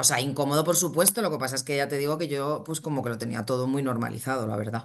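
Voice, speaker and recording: A woman talks at a very fast pace. Her pitch varies in an ordinary way. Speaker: saleswoman and singer. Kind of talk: testimonial interview. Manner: halting, many fillers and repetitions.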